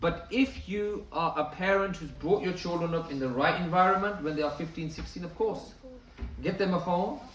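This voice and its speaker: A man with a high pitch speaks at a moderate pace with ordinary pitch variation. Audible room echo and noticeable background noise are present. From northern England, Bradford. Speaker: Islamic lecturer. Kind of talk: lecture.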